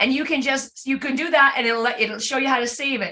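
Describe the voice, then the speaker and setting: Her voice is raised and projected, set at a high pitch. This woman sounds bright and sharp. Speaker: class leader / instructor. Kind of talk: tutorial. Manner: fast.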